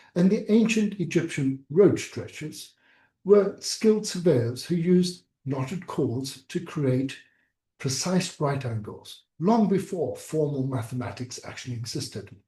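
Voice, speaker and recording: A man speaks fairly slowly in a fairly high voice with a dark, mellow tone. His pitch swings very widely, and the room echo is audible. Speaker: surgery teacher. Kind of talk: online lecture. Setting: video call.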